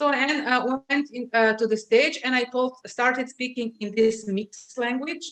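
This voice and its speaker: A woman with a Slovenian accent speaks at a high pitch. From Slovenia, Adriatic coast (Piran). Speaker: LinkedIn marketing specialist. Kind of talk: interview. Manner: hesitant, many filler sounds.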